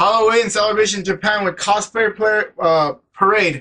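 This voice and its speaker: Using a raised, projected voice with a bright, sharp tone, a man speaks at a moderate pace. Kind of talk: casual vlog news update. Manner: halting, stumbling.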